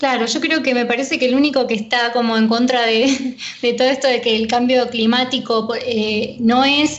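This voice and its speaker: A woman speaks at a high pitch with monotone, flat intonation and a moderate pace. Audible room echo and noticeable background noise fill the recording. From Buenos Aires western suburbs, Argentina. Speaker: radio co-host. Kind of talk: radio interview.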